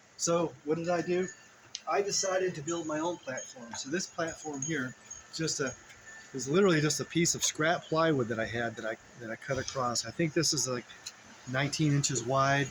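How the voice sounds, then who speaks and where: Ordinary pitch variation at a moderate pace over noticeable background noise. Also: man, fairly high pitch for a man. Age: 60s. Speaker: fitness vlogger. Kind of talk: tutorial. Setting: outdoors. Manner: halting.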